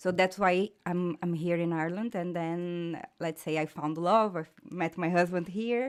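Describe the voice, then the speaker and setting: Speaking at a fairly slow pace, a woman with a Portuguese accent uses a fairly low pitch. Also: fairly even intonation. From Brazil. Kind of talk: casual chat. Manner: halting.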